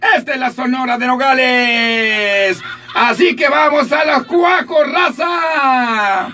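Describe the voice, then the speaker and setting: Upbeat and raised, a man projects his voice at an extremely high pitch with ordinary pitch variation. Light background noise sits behind him. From Sinaloa, Mexico. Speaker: radio announcer. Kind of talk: morning radio show host talk. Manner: upbeat, joking. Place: booth.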